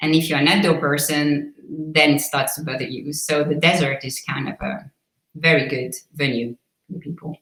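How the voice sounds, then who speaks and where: A woman speaks at a very deep, low pitch. Her pace is moderate and her intonation fairly even. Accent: slight Swiss. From Switzerland. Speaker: real estate agent. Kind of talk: interview.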